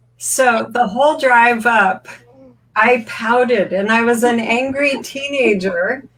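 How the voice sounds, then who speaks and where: A woman with a fairly high voice talks at a very slow pace, her loudness very even and her intonation fairly even. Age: 60s. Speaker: bodywork practitioner and teacher. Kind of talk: personal story told through an interpreter. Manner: speaks in short segments, pausing for translation.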